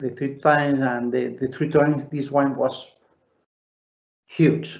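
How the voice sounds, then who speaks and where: A man with a Spanish accent, fairly high pitch, monotone and flat intonation, and a fairly slow pace. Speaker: winemaker. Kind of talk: live Q&A at online wine tasting. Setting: video call. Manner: halting, many fillers and repetitions.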